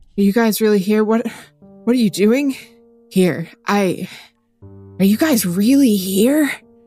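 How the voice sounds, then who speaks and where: A raspy, put-on character voice speaks at a fairly slow pace with long, frequent pauses. Faint music plays in the background. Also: woman, medium pitch for a woman. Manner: tentative, disbelieving.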